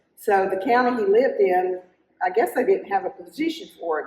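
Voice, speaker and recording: Her pitch swings very widely. The woman keeps to a moderate pace. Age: 70s. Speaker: retired senior care provider and author. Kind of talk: interview.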